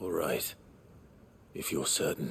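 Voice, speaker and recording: A man uses a raspy, put-on character voice over clear background noise. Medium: video game. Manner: low-key, measured.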